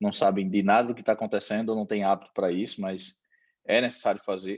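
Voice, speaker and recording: Here a man speaks at a very fast pace with fairly low pitch. The background is quiet. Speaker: accountant and business consultant. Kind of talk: online presentation. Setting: video call.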